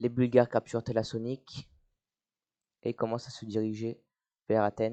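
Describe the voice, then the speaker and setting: At a moderate pace with long, frequent pauses, the voice has a dark, mellow tone and flat, monotone intonation, in a dry, close sound with no echo. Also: man, medium pitch for a man, big swings in loudness. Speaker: YouTuber narrating strategy game. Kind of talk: casual gameplay commentary. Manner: hesitant, many fillers.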